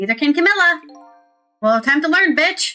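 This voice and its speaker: High, raised, projected female voice with very wide pitch swings and music in the background. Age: 30s. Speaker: streamer. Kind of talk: casual gameplay commentary with game text read aloud.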